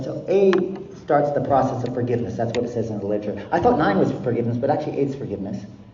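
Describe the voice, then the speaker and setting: With an American accent, a man of medium pitch talks at a very fast pace in an animated tone, amid noticeable background noise and audible room echo. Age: 60s. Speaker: recovery speaker. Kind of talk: speaker meeting talk.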